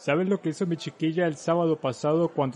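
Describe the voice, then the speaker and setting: A man's dark, mellow voice, fairly high for a man, with ordinary pitch variation. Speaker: audiobook narrator. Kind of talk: audiobook character dialogue. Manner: chatty, jovial, hearty.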